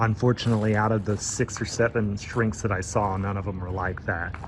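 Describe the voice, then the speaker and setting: Fairly low male voice in a monotone, flat intonation at a moderate pace, with noticeable background noise. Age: 30s. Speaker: vlogger. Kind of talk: casual vlog monologue. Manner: occasional stutter.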